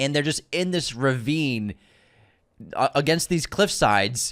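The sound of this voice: In an American accent, a man speaks slowly at medium pitch with a fairly bright tone and lively intonation, on a very clean recording with a silent background.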